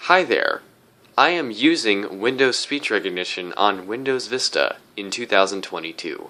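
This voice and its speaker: With lively intonation and a bright, sharp tone, a man talks at a moderate pace in a medium pitch. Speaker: tech YouTuber. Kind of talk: tutorial. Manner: casual.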